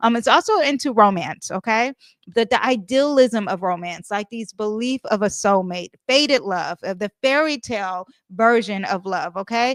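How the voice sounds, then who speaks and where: With lively intonation and a fairly high pitch, a woman is heard in a dry, close sound with no echo on a very clean recording with a silent background. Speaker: astrologer and tarot reader. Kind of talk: astrology forecast monologue. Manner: fast; casual with many fillers.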